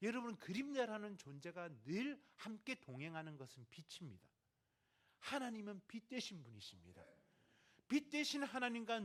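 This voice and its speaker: A man with a Gyeongsang accent, a high pitch, very wide pitch swings and a moderate pace. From Gyeongsang, South Korea. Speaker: missionary. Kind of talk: sermon.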